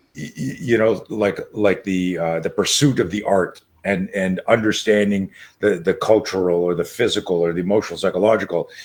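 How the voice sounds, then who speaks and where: Here a man talks at a moderate pace. His fairly low pitch shows ordinary variation. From Canada. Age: 60s. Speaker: martial arts and self-defense coach. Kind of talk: interview. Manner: animated.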